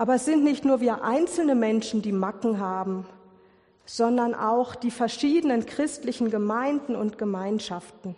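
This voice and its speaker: A woman speaks at a moderate pace in a fairly high pitch, her tone dark and mellow, with ordinary pitch variation. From Ruhr area, Germany. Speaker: lay preacher. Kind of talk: sermon.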